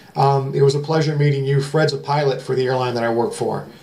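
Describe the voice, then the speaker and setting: With an American accent and a fairly high pitch, a man talks at a fairly quick pace against noticeable background noise and audible room echo. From Ohio, US Midwest (Elyria). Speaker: metal detecting YouTuber. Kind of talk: casual vlog talk to camera. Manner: fast; hesitant with fillers.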